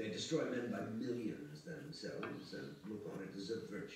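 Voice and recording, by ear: The reading aloud is done in a natural voice, its intonation lively.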